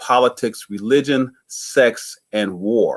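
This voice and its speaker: Over a very clean recording with a silent background, a man speaks with fairly even intonation. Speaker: community activist. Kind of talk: casual chat. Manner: fast.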